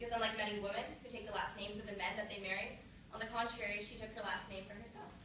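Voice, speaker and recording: Amid noticeable background noise, a woman talks at a very fast pace and medium pitch with monotone, flat intonation. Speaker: college student. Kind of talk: poetry reading.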